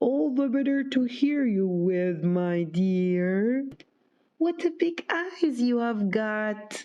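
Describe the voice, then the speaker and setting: A fairly high put-on character voice at a very slow pace. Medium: read story. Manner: sly, deceitful.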